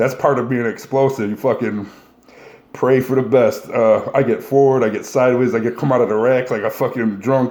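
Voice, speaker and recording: A man speaks at a fairly quick pace. His medium pitch follows fairly even intonation. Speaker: powerlifter answering viewer questions. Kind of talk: casual Q&A monologue. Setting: solo video recording. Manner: fast; profane, blunt.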